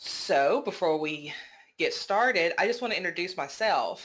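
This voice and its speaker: A moderate pace in a Southern US accent, on a very clean recording with a silent background. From US South, Georgia. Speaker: podcast host. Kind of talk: casual podcast storytelling.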